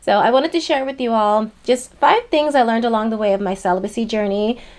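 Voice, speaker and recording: A woman speaks in an unremarkable speaking voice with lively intonation. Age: 30s. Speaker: lifestyle vlogger. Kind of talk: personal vlog talk to camera. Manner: casual, conversational.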